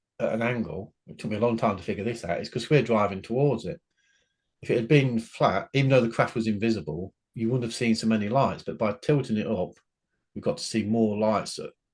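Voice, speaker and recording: A man with an unremarkable speaking voice talks at a medium pitch and a fairly quick pace, with ordinary pitch variation. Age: 60s. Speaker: author and UFO witness. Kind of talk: interview.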